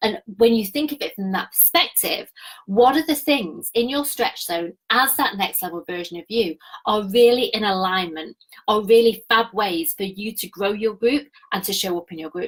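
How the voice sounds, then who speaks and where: A woman's somewhat breathy voice, fairly high in pitch, carries lively intonation and big swings in loudness. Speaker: business coach. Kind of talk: live stream training. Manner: fast; animated.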